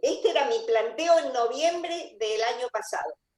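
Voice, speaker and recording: Her voice is high for a woman and swings very widely in pitch. She speaks at a fairly slow pace. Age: 70s. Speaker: member of a spiritual community. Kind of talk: interview.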